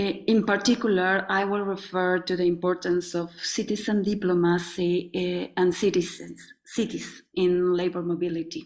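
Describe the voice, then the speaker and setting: A woman with a Mexican accent talks at a moderate pace at medium pitch, her intonation fairly even and her speech with hardly any pauses. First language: Spanish. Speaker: sociologist, NGO president. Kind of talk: panel presentation. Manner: halting.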